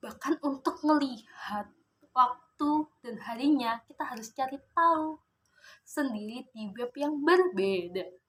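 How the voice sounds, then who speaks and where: A woman speaks at a very slow pace in a high pitch. Her intonation is lively, with big swings in loudness. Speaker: vlogger. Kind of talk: casual vlog monologue.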